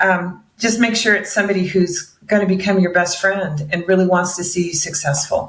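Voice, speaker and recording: Using an unremarkable speaking voice, a woman at medium pitch talks with fairly even intonation, very even loudness and hardly any pauses. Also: moderate pace. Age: 60s. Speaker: mortgage broker. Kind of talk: interview.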